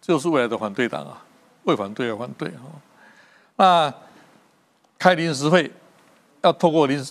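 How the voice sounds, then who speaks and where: The speaker uses lively intonation at a moderate pace, with big swings in loudness. Long pauses come often. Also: man, fairly high pitch for a man. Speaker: political commentator. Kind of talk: political talk show discussion.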